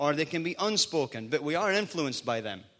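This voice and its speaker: A man with a Scottish accent speaks in a fairly high, bright, sharp voice with an animated tone and very wide pitch swings. The recording is very clean, with a silent background. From Scotland.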